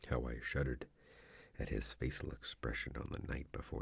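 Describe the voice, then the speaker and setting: A soft-spoken man talks at a moderate pace. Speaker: ASMR narrator. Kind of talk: soft-spoken scary story reading.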